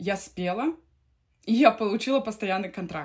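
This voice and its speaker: The recording is very clean, with a silent background. A woman speaks in a somewhat breathy voice at a moderate pace, with ordinary pitch variation. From Siberia, Russia. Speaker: opera singer and vocal coach. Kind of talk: casual interview.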